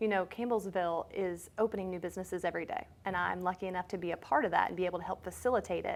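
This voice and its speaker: A woman at medium pitch with an American accent, very fast pace, hardly any pauses, vocal fry and fairly even intonation. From Kentucky. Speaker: chamber of commerce executive director. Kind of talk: radio interview.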